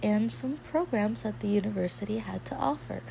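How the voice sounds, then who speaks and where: A woman's very deep, low voice over noticeable background noise. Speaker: art channel creator talking about university life. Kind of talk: casual vlog storytelling.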